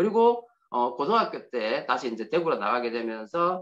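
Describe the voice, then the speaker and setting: A man with a fairly high pitch speaks at a fairly quick pace. His pitch swings very widely. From Gyeongsang region, Korea (Daegu area). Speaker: motivational speaker. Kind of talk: invited speech with personal testimony.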